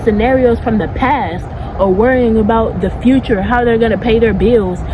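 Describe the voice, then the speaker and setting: In a space with audible room echo and noticeable background noise, a woman talks at a fairly high pitch with ordinary pitch variation. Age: 20s. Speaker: spiritual YouTuber. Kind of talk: casual vlog monologue. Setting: outdoors in backyard. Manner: animated.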